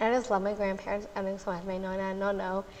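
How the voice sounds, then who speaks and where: A woman speaks at a very fast pace in a medium pitch. Audible room echo surrounds her voice. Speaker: podcast host. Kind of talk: live podcast interview. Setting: live stage with audience.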